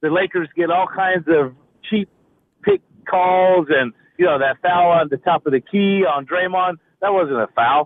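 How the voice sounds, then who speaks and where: With an American accent, a man talks at a moderate pace in a high pitch, keeping very even loudness and ordinary pitch variation while taking long, frequent pauses. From California, US. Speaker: caller. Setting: phone call, in a car.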